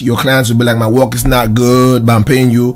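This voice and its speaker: At a moderate pace, a man talks with music in the background. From Southern Cameroon (Ambazonia). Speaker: video production studio owner. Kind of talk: interview answer. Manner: optimistic.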